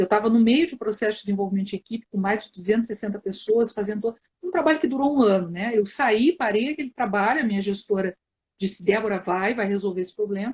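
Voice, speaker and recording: A woman speaks very fast at a fairly high pitch, sounding somewhat breathy. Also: ordinary pitch variation. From southern Brazil, Porto Alegre. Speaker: psychologist, live stream host. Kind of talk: live stream conversation. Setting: online live video stream.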